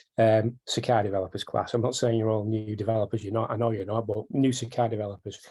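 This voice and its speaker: A man talks very fast in a northern British accent, his medium-pitched voice somewhat breathy with a dark, mellow tone and monotone, flat intonation. The recording is very clean, with a silent background. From northern England. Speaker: software developer. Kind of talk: technical tutorial. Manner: repetitive, fillers.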